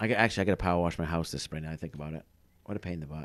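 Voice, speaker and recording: A man with a strong Maine accent and a very deep, low pitch at a very fast pace, in a very clean recording with a silent background. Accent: thick Maine. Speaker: podcast co-host, cabin builder. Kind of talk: casual chat. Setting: studio.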